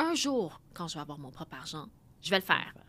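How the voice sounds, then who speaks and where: A woman speaks with a fairly low pitch and a bright, sharp tone. The recording is very clean, with a silent background. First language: Khmer (Cambodian) (speaking French). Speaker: mathematician and AI specialist. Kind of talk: interview.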